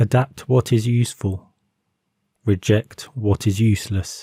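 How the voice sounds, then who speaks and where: The voice has a dark, mellow tone, somewhat breathy and calm, moving at a fairly slow pace with fairly even intonation in a dry, close sound with no echo. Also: man. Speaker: narrator. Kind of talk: calm motivational quote reading. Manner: calm, slow.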